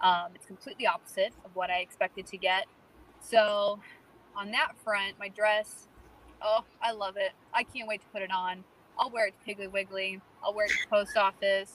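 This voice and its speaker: A woman's medium-pitched voice with an American accent, moderate pace, monotone, flat intonation, big swings in loudness, and a dry, close sound with no echo. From US South, North Carolina. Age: 20s. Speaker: bride-to-be. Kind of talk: casual chat.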